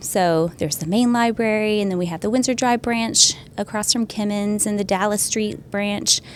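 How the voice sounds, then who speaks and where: A woman with an American accent has an ordinary speaking voice. She talks at a moderate pace with ordinary pitch variation. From US South, Arkansas/Oklahoma border. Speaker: librarian. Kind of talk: casual chat.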